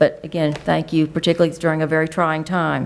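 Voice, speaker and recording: A woman with an American accent speaks at a fairly quick pace in a fairly low voice with vocal fry and monotone, flat intonation. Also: very clean recording, silent background. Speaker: school superintendent. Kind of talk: public meeting presentation.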